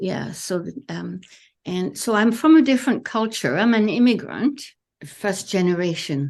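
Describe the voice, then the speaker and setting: A woman with a French accent speaks at a fairly slow pace, her pitch swinging very widely. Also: medium pitch for a woman. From France. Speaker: therapist. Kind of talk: interview. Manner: halting.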